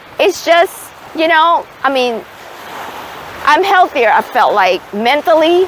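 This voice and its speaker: A woman speaks at a fairly slow pace, her pitch swinging very widely, with noticeable background noise behind her. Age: 60s. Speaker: retired nurse, vlogger. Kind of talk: casual vlog talk. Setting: outdoors at the beach.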